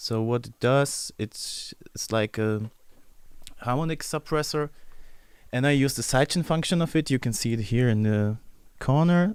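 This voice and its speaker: The recording is very clean, with a silent background. A man with a German accent talks at a moderate pace. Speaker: music producer. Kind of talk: livestream tutorial. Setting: livestream. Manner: halting.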